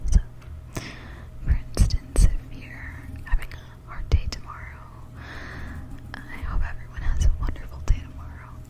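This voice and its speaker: A woman whispers at a moderate pace with long, frequent pauses and big swings in loudness over noticeable background noise. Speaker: ASMR creator. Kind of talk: ASMR whisper ramble for sleep. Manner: whispered; soft-spoken, rambling, hesitant.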